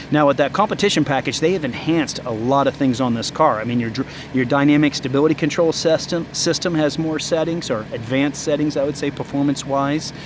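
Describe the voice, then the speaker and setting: Over noticeable background noise, a man talks very fast at a fairly high pitch. He hardly pauses at all. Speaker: car dealership salesman and reviewer. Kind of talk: car walkaround review. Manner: enthusiastic.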